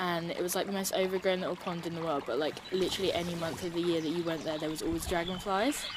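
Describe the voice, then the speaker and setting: Very fast and with fairly even intonation, a woman speaks at a fairly low pitch amid noticeable background noise. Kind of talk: personal story told to interviewer. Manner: casual, hesitant, many fillers.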